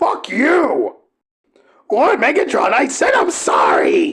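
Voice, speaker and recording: Using a put-on character voice, a man speaks raspily at an extremely high pitch and a fairly slow pace. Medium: audio drama. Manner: defensive, whiny.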